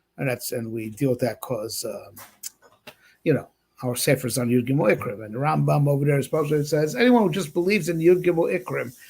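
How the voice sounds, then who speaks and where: Somewhat breathy speech at a fairly quick pace, with ordinary pitch variation, on a very clean recording against a silent background. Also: man. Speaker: rabbi teaching Torah class. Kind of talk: Torah lecture. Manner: halting with many fillers and repetitions.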